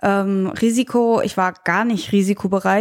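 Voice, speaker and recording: Fairly high in pitch, a woman speaks at a fairly slow pace with fairly even intonation on a very clean recording with a silent background. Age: 20s. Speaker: young investor, trainee. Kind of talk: interview. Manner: halting, many fillers.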